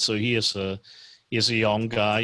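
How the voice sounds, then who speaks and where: A man speaks with a Swiss German accent at a fairly low pitch. His tone is bright and sharp. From Switzerland, German-speaking part (Lucerne). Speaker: commercial real estate financier. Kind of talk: casual chat. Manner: halting, many fillers.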